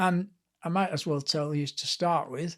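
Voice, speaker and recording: Here a man speaks with a Lancashire accent and a high pitch. His intonation stays fairly even. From northern England, Blackpool. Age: 70s. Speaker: author and sports historian. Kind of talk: casual interview chat.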